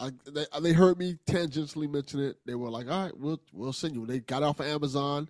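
This man talks at a fairly quick clip, his pitch fairly high, in a normal speaking voice. The sound is dry and close with no echo, and the recording is very clean over a silent background. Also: ordinary pitch variation, hardly any pauses. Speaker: podcast co-host. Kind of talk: casual banter.

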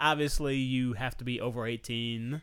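Moderate in pace and medium in pitch, a man talks in an unremarkable speaking voice. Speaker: podcast host. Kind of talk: casual banter podcast chat. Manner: joking, laughs often.

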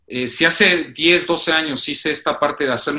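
In a bright, sharp tone, a man speaks at a fairly slow pace. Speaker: lawyer and law professor. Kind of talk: interview. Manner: halting.

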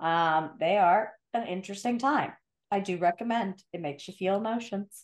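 Her voice is a plain, everyday voice, as this woman speaks at medium pitch and a moderate pace with ordinary pitch variation. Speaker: podcast host. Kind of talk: casual chat.

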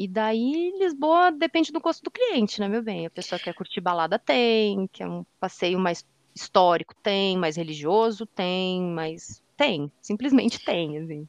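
Pitched at a medium level, a woman's voice moves at a fairly slow pace with very wide pitch swings. The sound is dry and close, with no echo. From southern Brazil, Rio Grande do Sul. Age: 40s. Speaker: accessibility analyst and audio description consultant. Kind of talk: casual interview chat. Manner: animated.

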